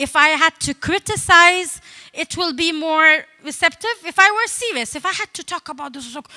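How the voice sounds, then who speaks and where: A raised, projected voice with a bright, sharp tone moves at a moderate pace with ordinary pitch variation, the sound dry and close with no echo. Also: woman. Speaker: comedian. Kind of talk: talk with comedy. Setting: stage with audience.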